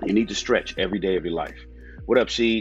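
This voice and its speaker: Faint music plays in the background as a man speaks, the sound dry with no echo. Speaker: fitness coach hosting live class. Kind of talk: casual livestream address to viewers. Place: home room. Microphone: earbuds.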